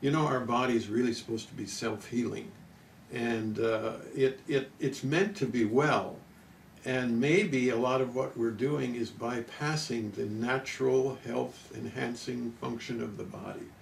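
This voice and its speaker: A man's somewhat breathy voice at medium pitch, fairly slow, with ordinary pitch variation and audible room echo. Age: 70s. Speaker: nutrition and wellness doctor. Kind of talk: interview. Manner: halting.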